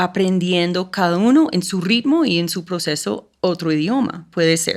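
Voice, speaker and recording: With an English accent, a woman speaks at a fairly slow pace. Her fairly low pitch shows ordinary variation. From United States. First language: English (speaking Spanish). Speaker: school program coordinator. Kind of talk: podcast interview.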